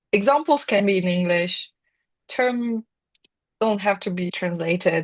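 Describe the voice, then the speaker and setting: Somewhat breathy, a woman with a non-native accent speaks at a fairly slow pace. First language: not English. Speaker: working group member. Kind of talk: online work meeting discussion. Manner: halting.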